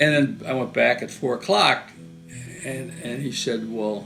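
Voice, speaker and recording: Music plays in the background as a man talks. He has an American accent and a medium-pitched voice. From Western New York, USA. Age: 80s+. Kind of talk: interview answer.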